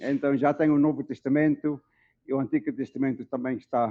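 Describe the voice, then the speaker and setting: A man's dark, mellow voice with an African accent. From South Africa (Dutch-born, raised there). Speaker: Bible translation consultant. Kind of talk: lecture. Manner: slow, deliberate; hesitant fillers.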